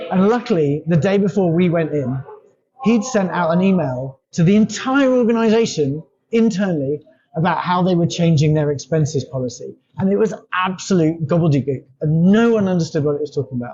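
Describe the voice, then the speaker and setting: In an English accent, a man with a high pitch talks at a fairly quick pace with lively intonation. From England. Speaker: company founder, language consultant. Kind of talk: interview conversation.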